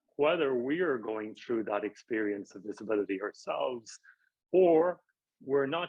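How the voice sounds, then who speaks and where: At a moderate pace, a man talks in an Irish accent with ordinary pitch variation. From rural Ireland. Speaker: professor. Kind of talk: interview.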